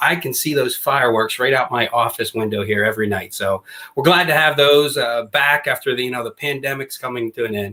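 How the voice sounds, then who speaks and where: A man with an American accent, medium pitch, and a bright, sharp tone, at a fairly quick pace with hardly any pauses and ordinary pitch variation. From Western Pennsylvania, near Pittsburgh. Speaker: former basketball coach and author. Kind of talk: podcast interview.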